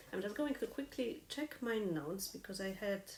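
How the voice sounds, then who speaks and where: At a fairly slow pace, a woman with a non-native accent speaks at a medium pitch. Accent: noticeable foreign. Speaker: harp teacher. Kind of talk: live online lesson. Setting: live stream. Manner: consciously slowing down.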